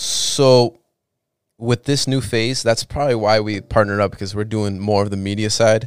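In an ordinary speaking voice, a man talks at a moderate pace with a fairly low pitch and fairly even intonation, in a dry, close sound with no echo on a very clean recording with a silent background. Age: 20s. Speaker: entertainment company partner. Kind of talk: casual chat.

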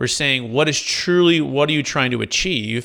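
On a very clean recording with a silent background, a man with an American accent speaks at a fairly quick pace, his fairly high pitch bright and sharp in tone, with ordinary pitch variation. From Northern California, Fremont area. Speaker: commercial real estate broker. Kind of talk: podcast interview.

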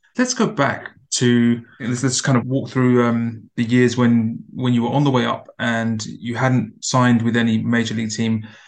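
Someone with a British accent talks at a moderate pace in a monotone, flat intonation. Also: man, medium pitch for a man. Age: 30s. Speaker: podcast host. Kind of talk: interview.

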